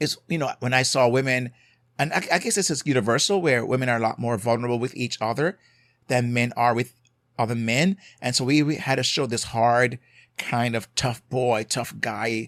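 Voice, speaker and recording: A man with a Jamaican accent speaks at a moderate pace with ordinary pitch variation. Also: medium pitch for a man. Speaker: marriage and family therapist, podcast host. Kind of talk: podcast monologue, advice. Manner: conversational, with hesitations.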